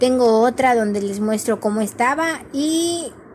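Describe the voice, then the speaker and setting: Noticeable background noise runs under this recording. A woman speaks fairly slowly in a fairly high voice. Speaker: agriculture student. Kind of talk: class presentation. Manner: halting.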